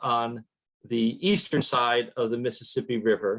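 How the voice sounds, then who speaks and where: Lively intonation from a man at medium pitch with an American accent. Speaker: historian. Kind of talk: lecture. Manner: casual, with fillers.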